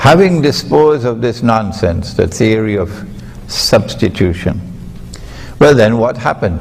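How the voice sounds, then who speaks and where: A man at a medium pitch speaks with lively intonation over noticeable background noise and audible room echo. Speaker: Islamic scholar. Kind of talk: lecture. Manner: emphatic.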